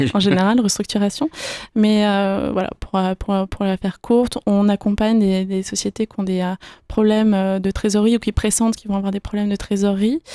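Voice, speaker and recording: A woman's medium-pitched, dark, mellow voice, flat and monotone at a fairly quick pace, in a very clean recording with a silent background and a dry, close sound with no echo. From France, Yvelines (Paris region). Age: 20s. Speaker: financial consultant. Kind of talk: radio interview. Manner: hesitant, many fillers.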